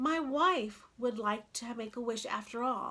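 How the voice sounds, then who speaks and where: Putting on a character voice, a woman speaks timidly at a fairly slow pace and a fairly high pitch. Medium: read story.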